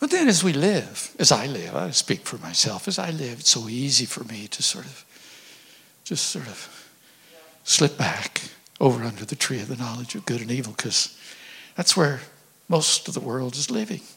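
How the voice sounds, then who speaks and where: Against noticeable background noise, a man with a medium pitch talks at a moderate pace, with very wide pitch swings, big swings in loudness and long, frequent pauses. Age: 70s. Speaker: church overseer, visiting preacher. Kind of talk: sermon. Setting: church.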